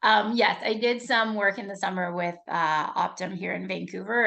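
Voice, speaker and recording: This woman speaks at a moderate pace, her fairly high pitch moving with ordinary variation. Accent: Canadian. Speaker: leadership coach. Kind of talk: webinar presentation. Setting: video call. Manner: informal, upbeat.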